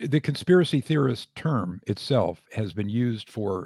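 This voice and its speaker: This is a man with a normal speaking voice. The recording is very clean with a silent background and a dry, close sound with no echo. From United States. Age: 60s. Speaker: retired physician and author. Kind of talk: casual interview.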